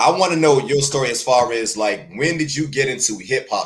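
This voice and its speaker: A man speaks in an unremarkable speaking voice at a fairly high pitch. His pace is moderate, with ordinary pitch variation. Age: 40s. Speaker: podcast host. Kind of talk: casual chat. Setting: video call.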